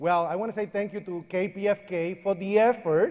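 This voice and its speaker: With crowd noise behind him, a man speaks in an animated tone at a high pitch. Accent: Puerto Rican. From Puerto Rico. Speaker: 9/11 survivor and speaker. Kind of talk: public speech. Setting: church with audience and PA.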